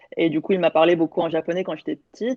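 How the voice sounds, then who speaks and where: A woman speaks at a fairly low pitch with fairly even intonation. The sound is dry and close, with no echo. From France, Lyon. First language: Korean (speaking French). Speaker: panelist, solo traveller. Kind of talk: casual online panel chat. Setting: online video event.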